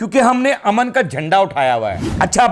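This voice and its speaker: His animated tone carries very wide pitch swings as the man speaks. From Pakistan. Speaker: political comedy vlogger. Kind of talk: political commentary vlog to camera. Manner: animated, mocking.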